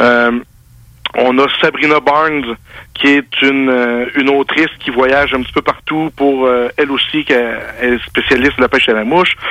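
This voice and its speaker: In a dry, close sound with no echo, a man of fairly high pitch speaks at a fairly slow pace with monotone, flat intonation. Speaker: fishing writer. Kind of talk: interview. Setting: phone call.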